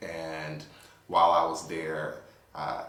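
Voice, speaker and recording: Audible room echo and noticeable background noise come through as a man speaks. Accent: Spanish. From New York. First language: Spanish. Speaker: attorney. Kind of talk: interview. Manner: hesitant with fillers.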